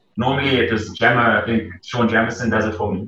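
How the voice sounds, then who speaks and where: Through audible room echo, a man talks at a very fast pace and a medium pitch. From South Africa, Gauteng. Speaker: professional cricketer. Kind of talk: casual interview.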